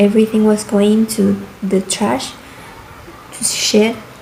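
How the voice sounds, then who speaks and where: Over noticeable background noise, a woman with a fairly high pitch speaks at a fairly slow pace with fairly even intonation. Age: 20s. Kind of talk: casual talk to camera. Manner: rambling.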